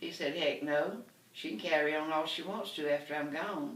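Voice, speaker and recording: A woman speaks with a Southern US accent at a moderate pace. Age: 80s+. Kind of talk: comedy storytelling.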